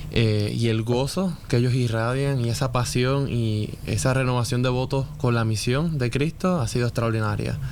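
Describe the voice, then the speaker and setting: A man with a Puerto Rican accent speaks at a moderate pace with very even loudness, hardly any pauses and ordinary pitch variation, amid audible room echo and noticeable background noise. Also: medium pitch for a man. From Puerto Rico. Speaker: church elder and occupational therapist. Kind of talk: casual chat.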